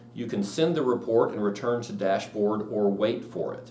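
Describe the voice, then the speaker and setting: Talking at a moderate pace, a man is heard through audible room echo and noticeable background noise. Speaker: real estate software trainer. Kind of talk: live class tutorial. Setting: classroom with live audience.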